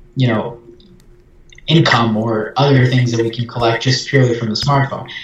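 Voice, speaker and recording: With audible room echo, a man speaks in a medium pitch and a monotone, flat intonation. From Brazil. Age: young. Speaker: startup founder and CEO. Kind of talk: interview.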